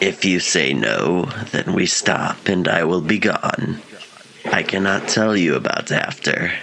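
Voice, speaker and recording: Over clear background noise, a man does a raspy, very deep and low put-on character voice at a fairly slow pace. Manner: cold, menacing, terse.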